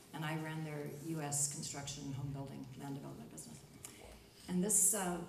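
Through noticeable background noise, a woman talks at a fairly quick pace. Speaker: panelist. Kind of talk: panel discussion answer. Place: stage.

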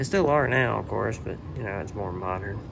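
The speaker uses lively intonation at a moderate pace. Noticeable background noise runs underneath. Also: man. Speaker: travel and railfan vlogger. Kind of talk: walking tour vlog narration. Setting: walking through a museum, handheld recording. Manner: halting, with many fillers.

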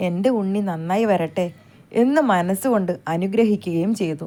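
A woman's voice, dark and mellow in tone, sits at a medium pitch and moves with ordinary pitch variation. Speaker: storyteller. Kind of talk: reading aloud.

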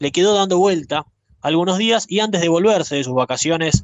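A man speaks at a fairly quick pace and a fairly high pitch in a Rioplatense accent. The sound is dry with no echo over a quiet background. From Argentina. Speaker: radio host. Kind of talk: storytelling. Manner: conversational. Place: studio.

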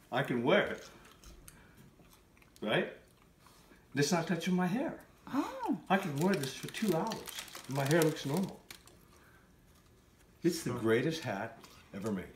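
Speech moves at a fairly slow pace with long, frequent pauses. The room echo is audible, and light background noise is present. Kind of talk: casual vlog chat. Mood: playful, enthusiastic. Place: home room. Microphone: phone near.

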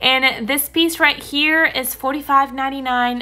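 Faint music plays in the background as a woman speaks with fairly even intonation. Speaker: shopping vlogger. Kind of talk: casual shop-with-me commentary. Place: shop. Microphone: phone near.

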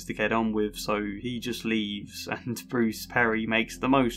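The speaker uses a natural reading voice, keeping the intonation fairly even.

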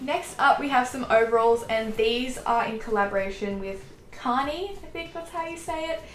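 Speech comes at a fairly slow pace, with audible room echo and light background noise. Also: woman. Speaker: fashion vlogger. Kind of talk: casual haul review chat. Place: home room.

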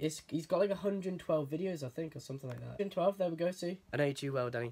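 This speaker talks at a very fast pace with a Geordie accent. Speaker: vlogger. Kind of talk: casual vlog. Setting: in a lift.

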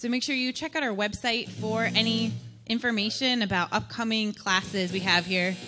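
A woman's voice at a moderate pace with ordinary pitch variation and clear music in the background. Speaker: event host. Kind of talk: host announcements. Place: hall. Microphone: handheld.

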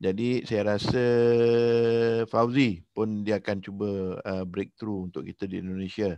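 A man at a fairly slow pace in a normal speaking voice, with a dry, echo-free sound and a quiet background. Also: fairly low pitch for a man, fairly even intonation. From Malaysia. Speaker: coach and host. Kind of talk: online briefing presentation. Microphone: headset.

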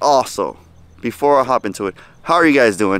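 Dry, echo-free speech from a man, with ordinary pitch variation. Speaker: fishing vlogger. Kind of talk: casual vlog chat. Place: waterside. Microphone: phone near.

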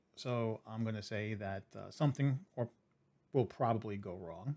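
A man's voice with ordinary pitch variation, at a moderate pace. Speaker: streamer reviewing gear. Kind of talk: casual vlog chat. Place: home room. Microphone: studio mic.

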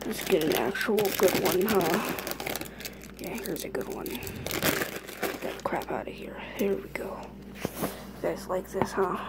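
Loud background noise surrounds speech delivered at a very slow pace with long, frequent pauses. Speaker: ASMR maker. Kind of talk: asmr whisper. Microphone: phone near.

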